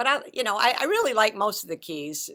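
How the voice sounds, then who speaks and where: A woman talks at a fairly quick pace with a bright, sharp tone. Vocal fry runs through her voice. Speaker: composer and singer, religious sister. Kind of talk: interview.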